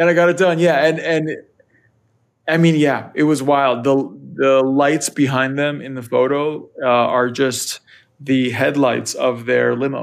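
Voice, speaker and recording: This man has a plain, everyday voice with an American accent. His pitch is fairly high and his intonation fairly even. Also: fairly slow pace. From US, Northern Virginia. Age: 30s. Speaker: music photographer. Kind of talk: casual interview.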